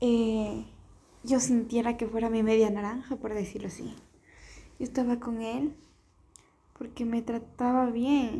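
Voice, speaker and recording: A woman talks at a fairly slow pace with a fairly high pitch and a dark, mellow tone. Her intonation is monotone and flat, broken by long, frequent pauses. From Ecuador. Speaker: podcaster. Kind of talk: casual monologue.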